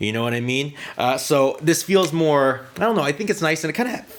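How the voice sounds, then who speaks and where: A man talks at a fairly quick pace in a fairly high voice. His pitch swings very widely over noticeable background noise. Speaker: guitar youtuber reviewing guitars. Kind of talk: casual gear review talk.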